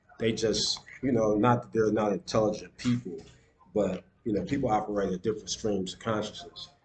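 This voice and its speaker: Amid noticeable background noise, a man with an American accent speaks at a moderate pace and a fairly low pitch, with ordinary pitch variation. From US, Detroit. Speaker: video blogger. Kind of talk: casual vlog monologue. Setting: at home on laptop. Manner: halting, many fillers and repeats.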